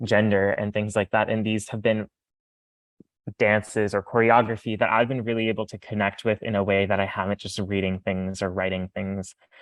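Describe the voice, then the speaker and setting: A man speaks in a fairly low pitch at a moderate pace. His intonation is monotone and flat. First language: non-English mother tongue. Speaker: panel moderator. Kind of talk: panel discussion. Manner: halting.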